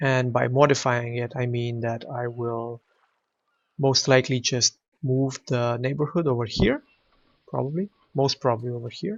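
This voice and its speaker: A man of medium pitch speaks with a non-native accent in a somewhat breathy voice. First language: not English. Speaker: video game streamer. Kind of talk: gameplay commentary. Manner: casual, hesitant with fillers.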